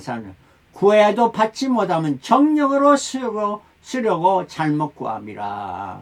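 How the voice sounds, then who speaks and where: A man at a very slow pace, with very wide pitch swings and big swings in loudness. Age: 70s. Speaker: pastor. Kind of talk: sermon.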